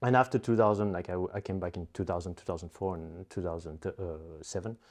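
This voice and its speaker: A man with a French accent speaks at a very fast pace in a very deep, low pitch. His pitch varies in an ordinary way against a quiet background. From Belgium. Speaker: animator. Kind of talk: interview. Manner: halting, many fillers and repetitions.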